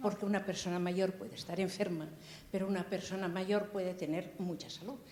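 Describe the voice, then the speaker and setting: At medium pitch and a moderate pace, a woman speaks with audible room echo and noticeable background noise. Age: 80s+. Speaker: audience member. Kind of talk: audience question.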